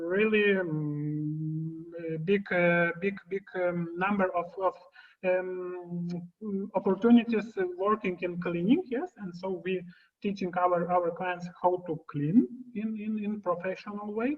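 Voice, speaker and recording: A woman speaks with a Lithuanian accent. Her pace is fairly slow. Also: medium pitch for a woman, ordinary pitch variation. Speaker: occupational therapist. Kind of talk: Q&A on a video conference. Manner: halting, many fillers.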